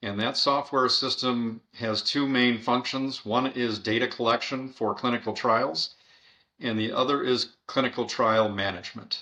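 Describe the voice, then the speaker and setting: This man talks at a fairly slow pace with a bright, sharp tone, a medium pitch and fairly even intonation. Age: 60s. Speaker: software company CEO. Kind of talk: podcast interview. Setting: remote call.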